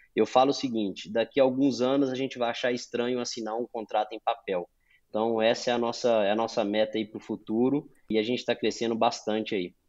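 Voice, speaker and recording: A man with a Minas Gerais accent talks at a fairly quick pace and medium pitch, his intonation monotone and flat, against a quiet background. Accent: Minas Gerais Brazilian Portuguese. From Brazil, Minas Gerais. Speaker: sales executive. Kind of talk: podcast interview.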